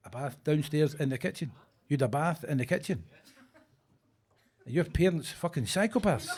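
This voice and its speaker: A man with a Glaswegian accent, animated and somewhat breathy, with long, frequent pauses. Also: fairly high pitch for a man, lively intonation, moderate pace. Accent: Glaswegian Scottish. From Scotland, Glasgow (Govan). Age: 60s. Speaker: stand-up comedian. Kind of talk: stand-up. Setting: stage with audience.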